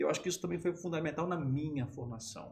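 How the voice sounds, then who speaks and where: The man's intonation is lively. He talks at a very fast pace. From southern Minas Gerais, Brazil. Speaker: sports journalist and radio announcer. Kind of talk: casual interview. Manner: calm, breath-controlled.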